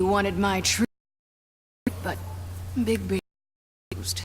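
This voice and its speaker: A put-on character voice speaks at a moderate pace with a low pitch. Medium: video game. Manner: bitter.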